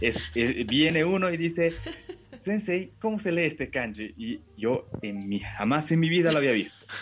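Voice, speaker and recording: This man talks rather slowly in a fairly high voice, his pitch swinging very widely. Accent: Japanese. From Bolivia. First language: Japanese (speaking Spanish). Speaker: language school director and Japanese teacher. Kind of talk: interview. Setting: video call.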